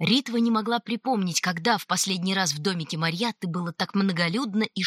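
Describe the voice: The pitch variation here is ordinary. It is plain reading aloud.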